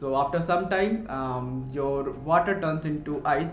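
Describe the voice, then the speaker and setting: Speech comes at a fairly slow pace in an Indian accent. Room echo is audible, and background noise is noticeable. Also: man. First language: Hindi. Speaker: science explainer youtuber. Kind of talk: educational explainer. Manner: halting, many fillers and self-corrections.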